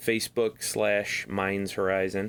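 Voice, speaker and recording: The recording is very clean, with a silent background. A man speaks at a fairly low pitch with monotone, flat intonation. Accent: Midwestern. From US Midwest. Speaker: podcast co-host and metal guitarist. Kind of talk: casual chat. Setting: new recording studio.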